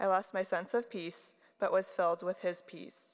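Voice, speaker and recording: Having a plain, everyday voice, a woman speaks at a moderate pace and medium pitch with fairly even intonation. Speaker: baptism candidate. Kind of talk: testimony. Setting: church.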